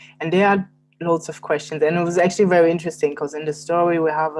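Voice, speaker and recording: A woman's very deep, low voice at a very fast pace, with fairly even intonation. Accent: German. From Germany. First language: German. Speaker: novelist and poet. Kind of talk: interview conversation. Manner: hesitant, with fillers.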